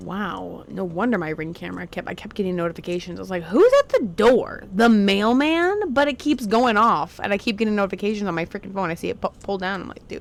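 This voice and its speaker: Over noticeable background noise, a woman talks at a fairly quick pace with lively intonation and big swings in loudness. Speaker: YouTuber reacting to music videos. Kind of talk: casual reaction commentary. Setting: recording at home on brother's PC. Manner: loud and out there; animated.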